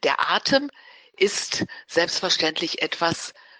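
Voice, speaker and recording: A woman talks very slowly. Her sound is dry and close, without any echo. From Ruhr area, Germany (Dortmund/Gelsenkirchen). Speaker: naturopath. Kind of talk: interview.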